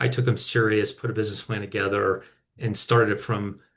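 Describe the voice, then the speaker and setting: A man speaks at a moderate pace in an American accent, his voice somewhat breathy. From rural Minnesota, US. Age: 40s. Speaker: company founder and CEO. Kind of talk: personal business story in webinar. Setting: video webinar.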